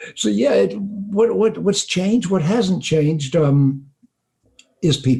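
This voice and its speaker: At a very slow pace, a man talks with a fairly high pitch, very wide pitch swings, very even loudness and a dark, mellow tone. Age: 70s. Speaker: auto industry consultant and speaker. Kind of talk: interview.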